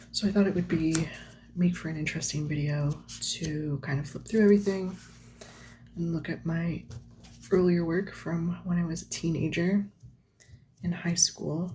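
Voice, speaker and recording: At a moderate pace, a woman with a fairly low pitch and a somewhat breathy, dark, mellow tone speaks with fairly even intonation and long, frequent pauses. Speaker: artist. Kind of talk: casual talk to camera while flipping through sketchbooks. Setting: lo-fi home recording with page-turning sounds. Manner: soft-spoken.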